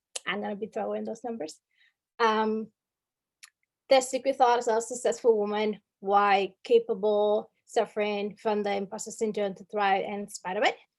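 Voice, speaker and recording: In a Spanish accent, the speaker keeps fairly even intonation while loudness swings widely, all in a very clean recording over a silent background. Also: woman, fairly high pitch for a woman, moderate pace. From Dominican Republic. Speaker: workshop speaker. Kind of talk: workshop presentation. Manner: many filler words (um, uh).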